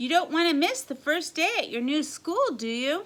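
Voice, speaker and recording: Using a put-on character voice, a woman sounds squeaky and extremely high-pitched, with a warm tone. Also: moderate pace. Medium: read story. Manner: warm, coaxing.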